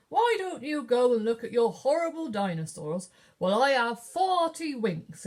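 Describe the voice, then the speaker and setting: Using a put-on character voice, a woman speaks at a high pitch and moderate pace with very wide pitch swings. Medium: read story.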